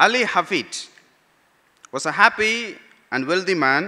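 A man's voice swings very widely in pitch. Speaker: pastor. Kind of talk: sermon. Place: church. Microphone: podium.

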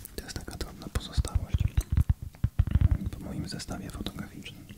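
Someone whispers over noticeable background noise. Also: man, moderate pace. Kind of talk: ASMR whispering. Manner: whispered; soft-spoken, calm.

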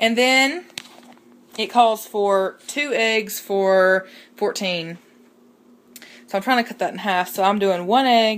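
A woman is speaking. She has a Southern US accent. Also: very clean recording, silent background. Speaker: vlogger. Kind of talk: casual vlog. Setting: in a car.

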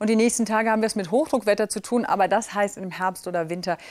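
The speaker here is a woman. She talks at a medium pitch. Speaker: TV weather presenter. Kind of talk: TV weather forecast. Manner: elegant, charming. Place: studio. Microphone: lapel.

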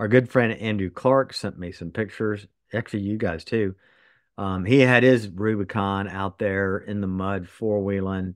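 With an unremarkable speaking voice, a man talks at a moderate pace and fairly low pitch, with fairly even intonation, a quiet background and a dry sound with no echo. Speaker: podcast co-host. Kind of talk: casual podcast chat. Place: home room. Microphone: earbuds.

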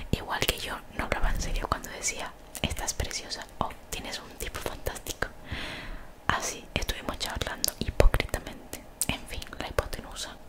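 A woman is whispering. She keeps a moderate pace. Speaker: streamer reading a book aloud. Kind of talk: reading a novel aloud with casual asides. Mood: playful, joking asides. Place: home room. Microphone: studio mic.

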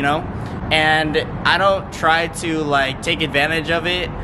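A man is speaking. Music plays in the background. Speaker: car enthusiast vlogger. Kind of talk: casual vlog chat. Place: garage.

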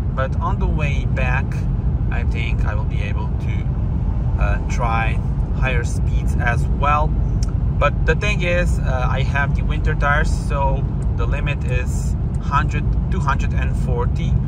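A man talks at a fairly slow pace. Loud background noise is present, though the sound itself is dry with no echo. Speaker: car owner vlogger. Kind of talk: casual vlog chat. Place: car.

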